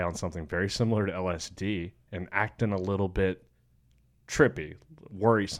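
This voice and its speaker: Recorded very cleanly against a silent background, a man with a Southern US accent speaks at a fairly low pitch. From Alabama. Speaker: skydiver and student. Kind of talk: casual chat.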